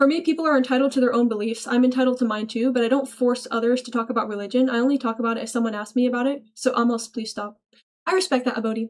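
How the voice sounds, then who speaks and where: A woman talks at a very fast pace in a high voice. Her tone is animated. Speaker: livestreamer. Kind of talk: live stream chat reading.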